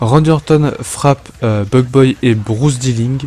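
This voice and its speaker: With ordinary pitch variation, a man talks in a medium register. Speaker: wrestling fantasy show host. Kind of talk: casual solo podcast intro; scripted narration of simulated wrestling matches. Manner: hesitant, many fillers.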